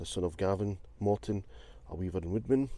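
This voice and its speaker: A man's very deep, low voice, dark and mellow in tone, dry with no echo, over light background noise. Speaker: urban explorer vlogger. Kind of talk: casual vlog narration. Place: car. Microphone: phone near.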